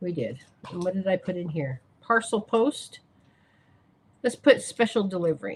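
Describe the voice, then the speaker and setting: A somewhat breathy woman at medium pitch and moderate pace, with very wide pitch swings and long, frequent pauses. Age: 60s. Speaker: crafting YouTuber. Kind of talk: live stream craft demonstration. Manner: casual and chatty.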